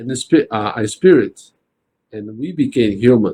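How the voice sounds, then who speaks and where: The speaker has a non-native accent. The tone is dark and mellow. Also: man. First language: not English. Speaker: spiritist study group leader. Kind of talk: religious study discussion. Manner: halting, with frequent restarts.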